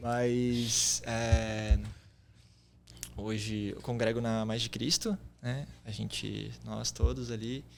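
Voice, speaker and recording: Leaving long, frequent pauses, this man talks very slowly. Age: 20s. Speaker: church youth leader. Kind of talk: testimony.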